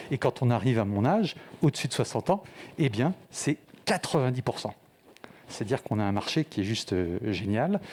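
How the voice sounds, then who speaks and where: Speaking at a fairly quick pace, a man at a medium pitch makes very wide pitch swings and leaves long, frequent pauses. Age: 60s. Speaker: startup founder. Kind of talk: pitch presentation.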